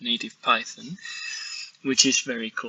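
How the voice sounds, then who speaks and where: This man's pace is moderate. He talks in a Spanish accent. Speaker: software developer. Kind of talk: software demo. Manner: halting, frequent repetitions.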